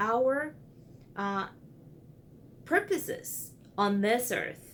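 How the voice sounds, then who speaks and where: The pace of this woman is very slow. Her intonation is lively. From Brazil. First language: Portuguese. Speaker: counseling student. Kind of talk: video blog for homework. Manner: hesitant with fillers.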